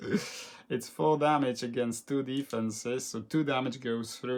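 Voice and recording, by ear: The clip is reading aloud in a natural voice.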